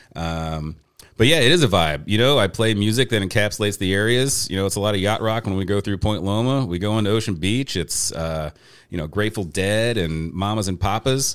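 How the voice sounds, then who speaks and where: On a very clean recording with a silent background, a man with an American accent and a plain, everyday voice speaks fairly quickly at a fairly low pitch, with ordinary pitch variation. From US Midwest, St. Louis area. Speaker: taco tour guide and business owner. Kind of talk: casual interview chat.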